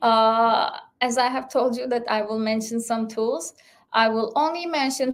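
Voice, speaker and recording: A woman speaks at a moderate pace with a fairly high pitch. She has a normal speaking voice. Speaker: cloud engineer presenting a tech webinar. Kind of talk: online presentation.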